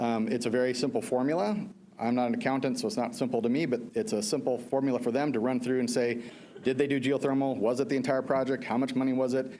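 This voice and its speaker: A man talks very fast at a medium pitch, his tone dark and mellow. His loudness stays very even, with ordinary pitch variation. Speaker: energy services contractor presenter. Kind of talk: presentation to school board.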